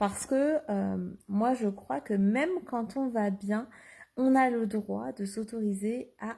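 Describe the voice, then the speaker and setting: At a very slow pace, a woman speaks with ordinary pitch variation. Her tone is dark and mellow, and somewhat breathy. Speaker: life coach. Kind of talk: Facebook live monologue. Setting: live video stream. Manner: hesitant, many fillers.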